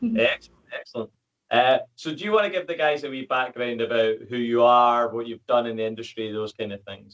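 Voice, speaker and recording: A man with a Scottish accent talks fairly quickly at medium pitch, with ordinary pitch variation and big swings in loudness. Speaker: podcast host and fitness coach. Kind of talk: podcast interview.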